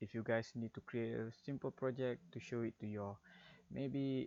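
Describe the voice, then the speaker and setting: Against a quiet background, a man speaks with a Malaysian accent. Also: dry, close sound with no echo. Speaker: game developer. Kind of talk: tutorial. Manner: halting.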